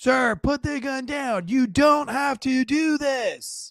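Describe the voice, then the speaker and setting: Shouting in a put-on character voice, a man goes extremely high in pitch at a very slow pace. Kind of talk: authoritative. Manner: stern, commanding, shouted from a distance.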